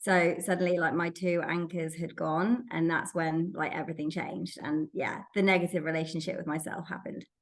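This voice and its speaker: A woman with an English accent speaks in a fairly low voice at a fairly quick pace, her intonation fairly even and her delivery with hardly any pauses. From England. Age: 30s. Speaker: recruiter, sober podcast guest. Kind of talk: interview. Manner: hesitant, many fillers.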